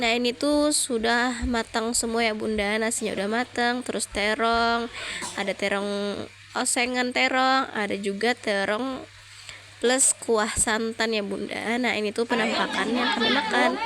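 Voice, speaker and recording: The voice moves at a fairly slow pace in a monotone, flat delivery with very even loudness. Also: woman, fairly high pitch for a woman. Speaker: mother. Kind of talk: casual day-in-my-life vlog narration.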